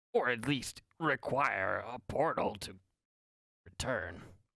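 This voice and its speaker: A raspy, put-on character voice comes through in a very clean recording against a silent background. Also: man. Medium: actual play. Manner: formal, measured, hesitant.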